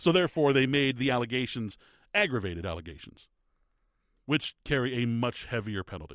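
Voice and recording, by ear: Pausing long and often, a man with a medium pitch talks fairly quickly in an upbeat, warm tone, his pitch swinging very widely.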